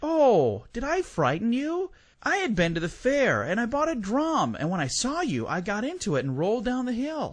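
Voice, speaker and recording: With a quiet background behind him, a man uses a put-on character voice pitched extremely high, with very wide pitch swings. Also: moderate pace. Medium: read story. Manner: bright, cheeky.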